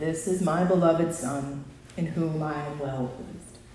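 A woman puts on a booming character voice with a very deep, low pitch, speaking at a moderate pace with a clear echo.

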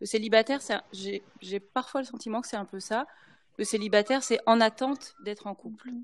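A woman speaks at a fairly quick pace with fairly even intonation. It is a plain, everyday voice, fairly high in pitch. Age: 50s. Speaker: former pastor's wife. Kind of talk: panel discussion.

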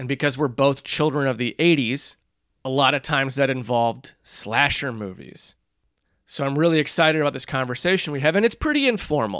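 Fairly quick speech from a man with a plain, everyday voice, pitched fairly high with ordinary pitch variation, on a very clean recording with a silent background. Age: 40s. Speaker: horror history podcast host. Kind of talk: casual chat.

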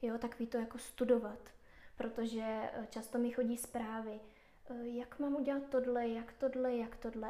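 Her voice sits high in pitch for a woman, with a dark, mellow tone, monotone, flat intonation and a moderate pace. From Czech Republic, Moravia. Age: 20s. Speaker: tattoo artist. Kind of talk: casual interview.

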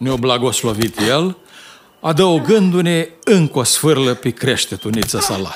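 Lively intonation from a man with a fairly high pitch and a warm tone, at a very slow pace. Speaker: audiobook narrator. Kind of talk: audiobook reading of a childhood memoir story, nostalgic rural tale. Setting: studio recording. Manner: slow, warm, storytelling tone, reminiscing with a folksy dialect flavor.

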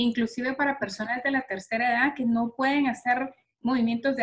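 Fairly even intonation marks a woman's high-pitched voice. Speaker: podcast host and health coach. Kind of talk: scripted ad read; casual interview.

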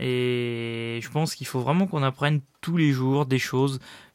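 In a very clean recording with a silent background and a dry, close sound with no echo, a man speaks fairly slowly at a medium pitch. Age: 30s. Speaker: podcast host and private investor. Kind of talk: solo monologue. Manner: hesitant, many fillers.

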